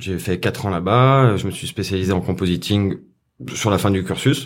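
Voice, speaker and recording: With lively intonation, a man speaks at a very deep, low pitch in a very clean recording with a silent background. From France, Saint-Etienne. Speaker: compositing artist. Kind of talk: interview.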